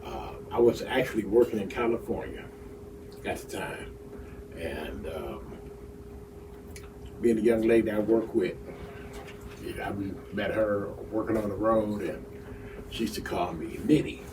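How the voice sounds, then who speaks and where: Over noticeable background noise and audible room echo, a man speaks at a moderate pace with long, frequent pauses and big swings in loudness. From Detroit, Michigan, US. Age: 60s. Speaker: union official and local political leader. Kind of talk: casual interview chat. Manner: halting.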